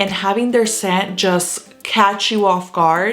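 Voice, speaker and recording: Ordinary pitch variation at a fairly slow pace, with noticeable background noise. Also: woman. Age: 30s. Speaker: lifestyle vlogger. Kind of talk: advice talk to camera. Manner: polished news-anchor style delivery.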